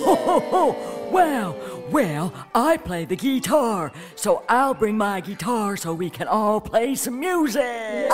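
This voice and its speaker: Over clear background music, a woman uses a put-on character voice, fairly high in pitch and delivered at a fairly slow pace. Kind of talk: children's story character voice. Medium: read story.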